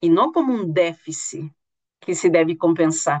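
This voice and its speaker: With a dry, close sound and no echo, a woman's voice makes very wide pitch swings. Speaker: university lecturer. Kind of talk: lecture. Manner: halting.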